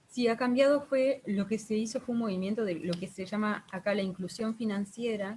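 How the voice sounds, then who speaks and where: With a Uruguayan accent, a woman speaks at a fairly high pitch in a somewhat breathy voice with ordinary pitch variation. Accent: Uruguayan Rioplatense Spanish. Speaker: guest, social worker and real estate agent. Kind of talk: online group conversation.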